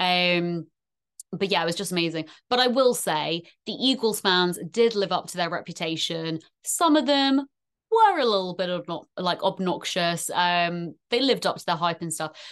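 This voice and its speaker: Against a quiet background, a woman with a British accent speaks at a moderate pace with lively intonation. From UK. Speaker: NFL fan content creator. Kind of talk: casual chat. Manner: animated.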